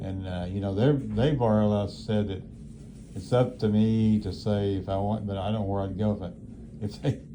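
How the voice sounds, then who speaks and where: Audible room echo surrounds a man who speaks at a fairly low pitch and a moderate pace with fairly even intonation. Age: 80s+. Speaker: elderly nursing home resident. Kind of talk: casual chat. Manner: halting.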